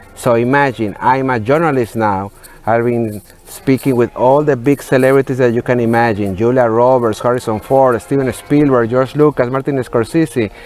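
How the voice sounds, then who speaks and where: With a medium-pitched voice, a man delivers his words at a moderate pace. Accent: Spanish. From Mexico, Monterrey. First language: Spanish. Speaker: entertainment journalist. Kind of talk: interview. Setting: remote video link from a museum. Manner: halting, with fillers.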